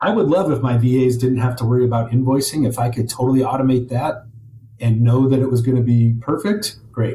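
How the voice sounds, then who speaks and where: A man's dark, mellow tone, somewhat breathy, at a fairly quick pace with very even loudness. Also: medium pitch for a man, ordinary pitch variation. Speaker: property management business owner. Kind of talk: interview. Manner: fast.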